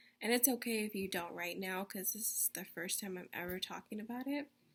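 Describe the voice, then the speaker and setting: A woman talks at a fairly quick pace with a plain, everyday voice. Her pitch is medium. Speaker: teacher. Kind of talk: recorded lesson for young children. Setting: video call.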